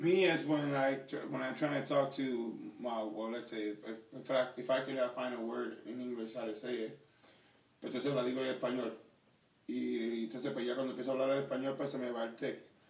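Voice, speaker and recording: A man with a Spanish accent speaks at a very fast pace and medium pitch, with fairly even intonation. Noticeable background noise and audible room echo fill the recording. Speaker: YouTuber with Tourette syndrome. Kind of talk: casual chat. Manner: halting, with stammered repetitions.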